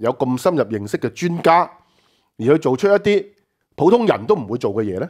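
A man's voice swings very widely in pitch. Behind him, the background stays quiet. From Hong Kong. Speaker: political talk show host. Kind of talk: political commentary chat. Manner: animated, frequent laughter. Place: studio.

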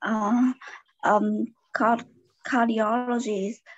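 A woman with a Vietnamese accent speaks at a very slow pace, the sound dry with no echo and the background quiet. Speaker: pediatrician and student. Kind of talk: class participation. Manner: halting. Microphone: video call.

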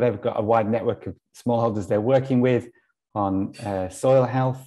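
A man speaks with a dark, mellow tone and fairly even intonation against a quiet background. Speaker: online event host. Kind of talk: event hosting introduction. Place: home room. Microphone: earbuds.

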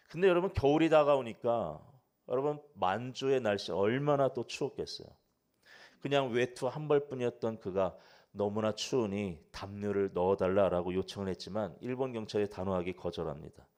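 A man speaks with a normal speaking voice at a medium pitch, moderate pace and lively intonation. The background is quiet. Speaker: pastor. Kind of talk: sermon.

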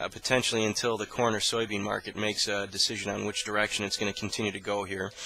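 Speaking very fast, a man uses a fairly low pitch in a flat monotone. The sound is dry, with no echo. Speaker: commodity market analyst. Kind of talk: market commentary. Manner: frequent filler words (uh, um). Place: office. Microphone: headset.

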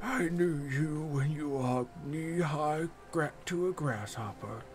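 A man puts on a character voice, fairly high in pitch and fairly slow, with clear music in the background.

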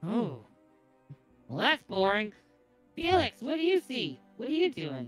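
Faint music plays behind a put-on character voice that is fairly high and cheerful, with very wide pitch swings and long, frequent pauses. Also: moderate pace. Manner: cheerful, naive.

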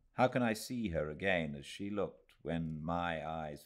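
A man's very deep, low voice with vocal fry, a warm tone and lively intonation, against a quiet background. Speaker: actor and audiobook narrator. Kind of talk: audiobook reading of a Victorian novel, read aloud live. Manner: measured, unhurried, warm literary narration with careful, expressive pacing. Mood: calm, cozy, measured. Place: home room.

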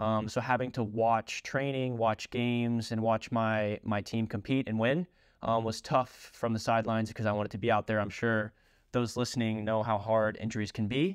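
Over a quiet background, in a dry, close sound with no echo, a man with an American accent and a plain, everyday voice speaks at a moderate pace with a medium pitch and fairly even intonation. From Kentucky, US. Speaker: professional soccer player. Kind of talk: personal story monologue.

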